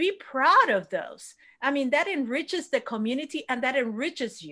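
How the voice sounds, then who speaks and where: A woman projects a raised voice in a Spanish accent, high in pitch and bright, sharp in tone. Her intonation is lively. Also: moderate pace, big swings in loudness. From Puerto Rico. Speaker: elected city official. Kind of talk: panel discussion. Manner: impassioned.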